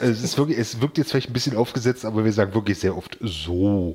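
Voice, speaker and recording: A man's dark, mellow tone at a fairly quick pace, with ordinary pitch variation. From eastern Germany, Magdeburg area. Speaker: podcast host. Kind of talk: casual chat. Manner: halting, many repetitions.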